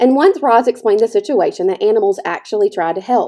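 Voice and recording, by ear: A natural voice carries the reading aloud from start to finish.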